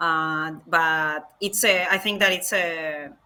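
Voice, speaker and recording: A woman speaks with a Spanish accent. Her pitch is very deep and low, and her tone is bright and sharp. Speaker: game designer. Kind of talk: interview. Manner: halting, many fillers.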